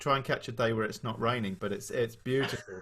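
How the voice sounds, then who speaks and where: Speech comes at a moderate pace. A bright, sharp tone carries it. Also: man. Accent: southern English. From southern England, Kent. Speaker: masterclass interviewer. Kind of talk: interview. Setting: video call.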